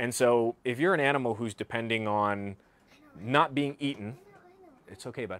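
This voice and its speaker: At a moderate pace, a man with an American accent speaks with ordinary pitch variation and long, frequent pauses. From US South, southern Virginia. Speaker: wildlife author and herpetologist; guest. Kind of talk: presentation to live audience. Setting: bookshop with live audience. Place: shop. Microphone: lapel.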